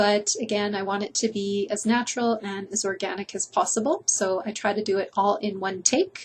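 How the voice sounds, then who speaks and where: Somewhat breathy, a woman talks with fairly even intonation and hardly any pauses. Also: medium pitch for a woman, moderate pace. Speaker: addiction recovery counselor. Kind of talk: casual monologue to camera. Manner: conversational, unscripted.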